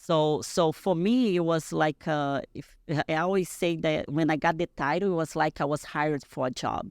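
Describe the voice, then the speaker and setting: With a Portuguese accent and a very deep, low pitch, a woman speaks on a very clean recording with a silent background. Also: ordinary pitch variation, moderate pace. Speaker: bodybuilding champion. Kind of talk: podcast interview. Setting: podcast studio. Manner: halting.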